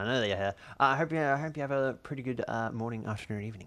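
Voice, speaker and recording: Over a quiet background, a man with an Australian accent speaks very fast in a bright, sharp tone at medium pitch. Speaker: video game streamer. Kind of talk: live game stream chat. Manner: halting, repeats words often; animated.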